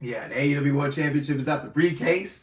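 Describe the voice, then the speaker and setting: This man's voice is fairly high-pitched and somewhat breathy, moving at a moderate pace. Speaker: streamer. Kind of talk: casual live stream chat.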